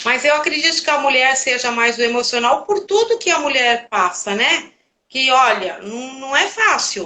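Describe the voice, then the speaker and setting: Her voice raised and projected, a woman speaks at a high pitch with very wide pitch swings. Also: moderate pace. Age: 60s. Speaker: home organizer, live host. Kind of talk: casual chat. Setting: live stream.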